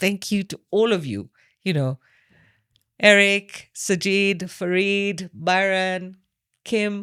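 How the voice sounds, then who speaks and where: A woman speaks at a very slow pace with long, frequent pauses and fairly even intonation, recorded very cleanly against a silent background with a dry, close sound and no echo. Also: medium pitch for a woman. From Kenya. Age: 60s. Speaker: hypnotherapist. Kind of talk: podcast interview. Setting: private house.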